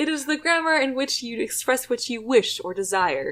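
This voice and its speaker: High-pitched put-on character voice from a woman, delivered at an even, moderate speed. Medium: audio drama. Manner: prim, lecturing.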